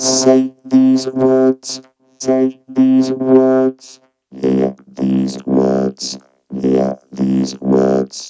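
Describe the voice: A man uses a put-on character voice at an extremely low pitch and a very slow pace, monotone with flat intonation. The tone is dark, mellow, clear and smooth, with a robotic, processed sound and faint music in the background.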